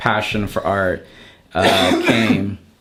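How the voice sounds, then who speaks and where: A man's medium-pitched voice is heard with noticeable noise in the background. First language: not English (learned English at seven). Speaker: artist and art educator. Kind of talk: casual interview chat. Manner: halting, many false starts.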